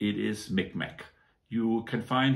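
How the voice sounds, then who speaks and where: A man talks at a fairly slow pace. He has a German accent. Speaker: toy model reviewer. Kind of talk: product review. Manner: casual, many hesitations.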